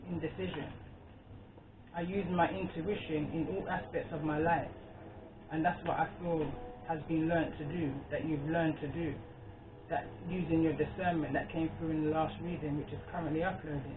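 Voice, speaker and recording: A fairly high-pitched man with fairly even intonation and long, frequent pauses, amid noticeable background noise and audible room echo. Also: moderate pace. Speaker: tarot reader. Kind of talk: tarot reading. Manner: halting.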